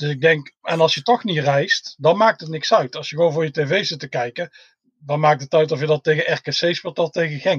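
An ordinary speaking voice belongs to a man with a fairly high pitch and ordinary pitch variation. He talks at a moderate pace, and the sound is dry and close with no echo. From Tilburg, southern Netherlands. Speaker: football fan, groundhopper. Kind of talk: casual chat.

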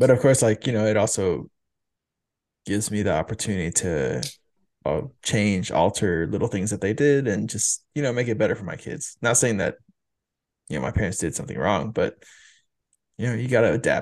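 Against a quiet background, a man with vocal fry talks at a fairly quick pace with lively intonation and long, frequent pauses. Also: fairly low pitch for a man. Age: 30s. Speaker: podcast host, father. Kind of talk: casual chat.

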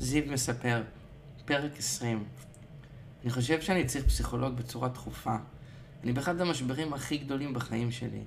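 Through audible room echo, a man speaks at a moderate pace and a medium pitch, with fairly even intonation and long, frequent pauses. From Israel. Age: young. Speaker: coaching client and musician. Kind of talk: personal diary monologue.

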